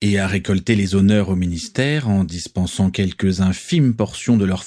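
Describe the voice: The speaker is reading aloud plainly, with ordinary pitch variation.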